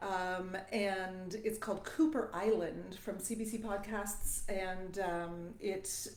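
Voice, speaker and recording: With a southern Ontario accent, a woman at a medium pitch talks at a very slow pace with hardly any pauses and fairly even intonation, amid noticeable background noise and audible room echo. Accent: Southern Ontario Canadian. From Southern Ontario, Canada. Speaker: voice teacher. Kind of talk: live stream talk to viewers. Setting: live stream. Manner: halting, many fillers.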